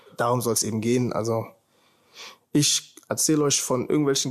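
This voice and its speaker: Fairly even intonation at medium pitch from a man. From Germany, Heidelberg. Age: 20s. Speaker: podcast host, film student. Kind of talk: casual monologue. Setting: standing at a window. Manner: casual, relaxed.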